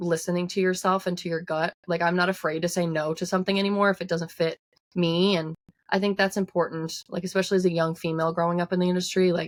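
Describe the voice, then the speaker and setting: In a strong Newfoundland accent, a woman talks very fast with a fairly low pitch. Her intonation is monotone and flat. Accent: thick Newfoundland. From Newfoundland, Canada. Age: 20s. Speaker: singer-songwriter. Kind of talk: interview. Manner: casual, many filler words.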